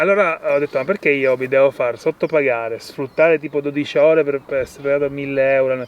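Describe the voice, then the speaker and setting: A man speaks with hardly any pauses. His pitch is fairly high and his intonation fairly even. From Sicily, Italy. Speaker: permaculture farmer. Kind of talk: casual interview. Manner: halting, with fillers and restarts.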